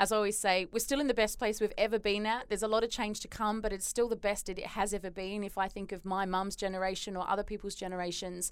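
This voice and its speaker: With an Australian accent, a woman races along at a very fast pace with hardly any pauses in a monotone, flat delivery. The recording is very clean and the background silent. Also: medium pitch for a woman. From Australia, Perth. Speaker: performance consultant and psychologist. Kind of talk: interview.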